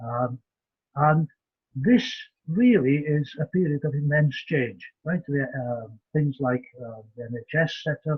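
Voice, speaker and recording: In a Welsh accent, a somewhat breathy man with a fairly high pitch speaks very slowly with lively intonation. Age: 70s. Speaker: community development lecturer. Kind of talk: lecture. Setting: video call. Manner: halting with frequent fillers.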